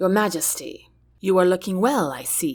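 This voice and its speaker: Using a put-on character voice, a woman sounds raspy at a medium pitch, with lively intonation. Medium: read story. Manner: derisive, sneering.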